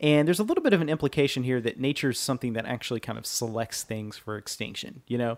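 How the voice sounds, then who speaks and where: Words pour out very fast. Nothing but silence lies behind the voice in this very clean recording. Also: man. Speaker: podcast host. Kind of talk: casual podcast banter, minute-by-minute film recap. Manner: casual, chatty.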